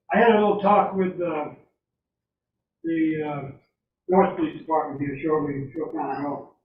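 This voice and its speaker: With an American accent, a man talks at a moderate pace and fairly high pitch, ordinary pitch variation, and long, frequent pauses, in a room with audible echo. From US, southwestern Maine. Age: 70s. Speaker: resident speaking at public comment. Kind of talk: public comment at town meeting. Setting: town board meeting.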